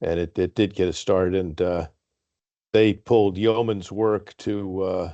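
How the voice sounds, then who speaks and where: A man speaks at a fairly slow pace in a very deep, low pitch with a dark, mellow tone. His intonation stays fairly even against a quiet background. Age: 70s. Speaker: board chair. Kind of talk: formal meeting discussion. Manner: halting, many fillers.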